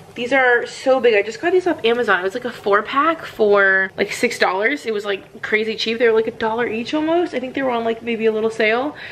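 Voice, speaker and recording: The speaker goes at a fairly quick pace with hardly any pauses and ordinary pitch variation. There is light background noise. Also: woman. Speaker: mom vlogger. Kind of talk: casual vlog chat. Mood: relaxed, chatty. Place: kitchen. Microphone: phone near.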